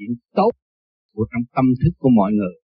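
A man's somewhat breathy voice. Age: 70s. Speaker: meditation teacher. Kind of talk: spiritual talk with Q&A.

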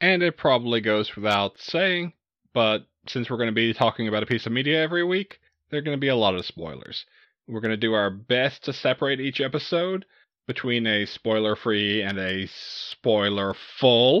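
A man with an American accent speaks at a medium pitch and a moderate pace. His is an unremarkable speaking voice with lively intonation. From US South, Southeast Texas. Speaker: horror podcast co-host. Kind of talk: casual chat.

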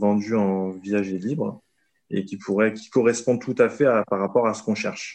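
A man speaks at a fairly slow pace. His voice sits fairly low, with ordinary pitch variation. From southern France. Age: 30s. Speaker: private investor. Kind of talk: casual interview. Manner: hesitant, many fillers.

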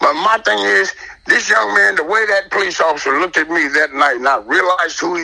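Noticeable background noise under a fairly quick delivery. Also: man. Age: 50s. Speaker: community member recounting police incident. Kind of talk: testimony.

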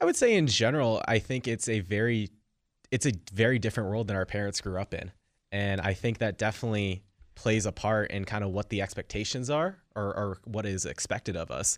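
Recorded very cleanly against a silent background, a man with an American accent speaks fairly quickly at a fairly low pitch in an unremarkable speaking voice, with ordinary pitch variation. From US West Coast, Silicon Valley. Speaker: college student, campus political club member. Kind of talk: radio interview.

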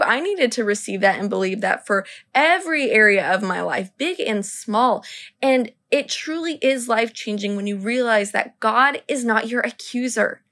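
A woman with a high pitch and a bright, sharp, animated tone, lively in intonation and moderate in pace, on a very clean recording with a silent background. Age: 20s. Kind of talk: faith-based solo podcast talk.

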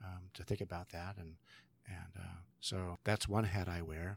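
A man's very deep, low, somewhat breathy voice with fairly even intonation in a very clean recording against a silent background. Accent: American. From California, San Joaquin Valley. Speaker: professor of theology and leadership. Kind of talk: interview.

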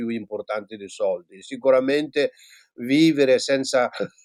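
A moderate pace, with a dry, close sound and no echo. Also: man. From Tibet. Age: 60s. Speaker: former Buddhist monk and teacher. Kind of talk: interview. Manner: halting.

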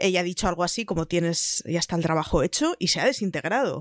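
A woman with a Spanish accent speaks at a fairly low pitch in a dry, close sound with no echo, on a very clean recording with a silent background. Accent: Spanish (Spain). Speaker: podcast panelist. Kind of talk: casual chat.

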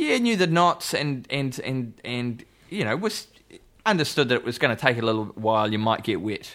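A man speaks at a moderate pace with lively intonation. The recording is very clean, with a silent background. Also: medium pitch for a man. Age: 40s. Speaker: musician. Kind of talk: casual chat.

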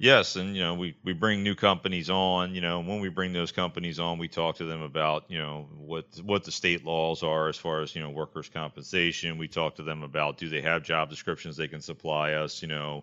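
With an American accent, a man talks at a fairly quick pace with hardly any pauses, a very deep, low pitch and fairly even intonation. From Greater Philadelphia area. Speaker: occupational health director. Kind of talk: casual interview.

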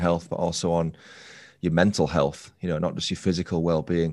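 A man's very deep, low voice with a northern English accent, fairly quick and monotone against a quiet background. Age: 30s. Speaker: true crime podcaster. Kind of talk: casual chat.

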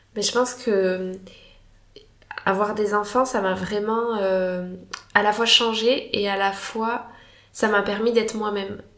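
A woman with a fairly high pitch speaks very slowly in a flat monotone, with long, frequent pauses. Audible room echo and noticeable background noise surround her voice. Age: 30s. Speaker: doctor and mother. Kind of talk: casual interview, personal testimony. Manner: hesitant, many fillers.

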